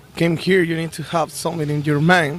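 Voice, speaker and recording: Monotone, flat intonation from a fairly high-pitched man at a moderate pace. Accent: Mexican. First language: Spanish. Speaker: band musician. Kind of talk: casual interview. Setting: outdoors on a beach. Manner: halting.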